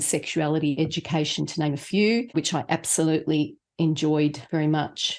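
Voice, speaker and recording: In a very clean recording with a silent background, a woman with an Australian accent speaks at a moderate pace in a very deep, low voice. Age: 60s. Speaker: podcast co-host, patient advocate. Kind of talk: casual podcast conversation.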